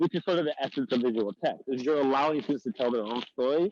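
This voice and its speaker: The man's voice is fairly high and his intonation lively. The sound is dry and close, with no echo. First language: Arabic. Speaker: professor. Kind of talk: workshop presentation. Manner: fast.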